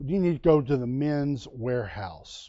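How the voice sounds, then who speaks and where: A man's animated voice at a fairly slow pace. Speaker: preacher. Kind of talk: sermon.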